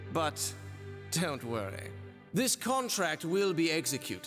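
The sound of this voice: A man puts on a character voice with a fairly high pitch and a fairly bright tone, swinging very widely in pitch. He speaks at a slow pace while faint music plays in the background.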